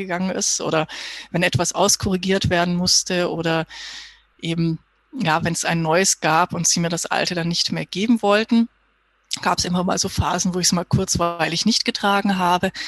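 An unremarkable speaking voice moves at a fairly quick pace with fairly even intonation, the sound dry and close with no echo. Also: woman. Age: 30s. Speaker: physiotherapist. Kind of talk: interview.

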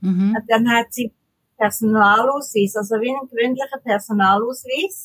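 Here is an ordinary speaking voice with ordinary pitch variation at a moderate pace. The sound is dry and close, with no echo. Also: woman, fairly high pitch for a woman. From Switzerland. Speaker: mouth painter, tetraplegic artist. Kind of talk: interview.

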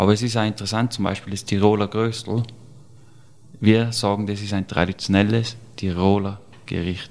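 A man speaks at a moderate pace with a fairly low pitch. His intonation stays monotone and flat. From Austria, Tyrol (Serfaus). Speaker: chef. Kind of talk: interview.

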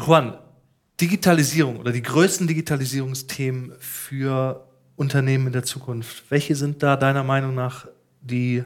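This is an unremarkable speaking voice from a man at a medium pitch. He talks at a moderate pace with fairly even intonation. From Ruhr area, Germany. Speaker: podcast host. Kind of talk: casual interview and on-location reportage.

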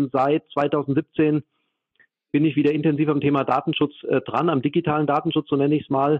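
With a slight Hessian accent, a man speaks at a fairly high pitch. His pace is fairly quick. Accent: slight Hessian dialect, barely noticeable. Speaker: data protection expert. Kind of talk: interview. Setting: remote call.

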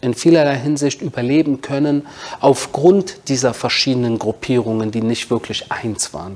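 Moderate tempo and ordinary pitch variation in an ordinary speaking voice. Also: man. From Berlin, Germany. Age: 40s. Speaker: author and military spokesman. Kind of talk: interview.

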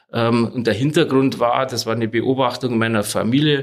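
This is a plain, everyday voice. The intonation is fairly even. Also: man. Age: 50s. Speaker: lawyer. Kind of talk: interview.

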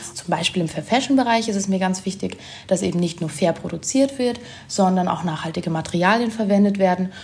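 There is noticeable background noise as a woman speaks at a medium pitch. Her pace is fairly quick and her pitch varies in an ordinary way. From Germany. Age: 20s. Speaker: sustainability blogger and influencer. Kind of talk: casual interview.

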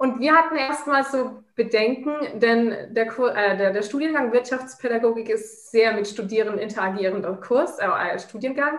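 A woman's fairly high, normal speaking voice at a moderate pace, with ordinary pitch variation. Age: 20s. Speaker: master's student. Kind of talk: casual interview.

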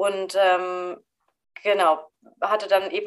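A woman speaking at a fairly slow pace, her pitch medium. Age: 30s. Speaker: psychologist and medical student. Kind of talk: casual chat. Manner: halting.

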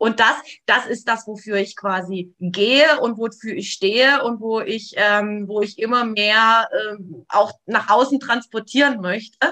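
Speaking at a fairly slow pace, a woman uses a fairly high, bright, sharp tone with ordinary pitch variation. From eastern Germany, near Leipzig (Saxony). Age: 40s. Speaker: trauma therapist. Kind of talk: interview conversation.

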